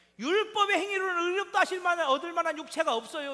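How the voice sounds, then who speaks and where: With ordinary pitch variation, a man speaks in a raised, projected voice at an extremely high pitch. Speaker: pastor. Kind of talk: sermon. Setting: church. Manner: conversational, frequent rhetorical questions to congregation.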